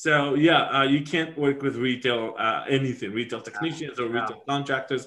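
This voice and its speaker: A man with a non-native accent, at a moderate pace, with fairly even intonation. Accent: foreign. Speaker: podcast host.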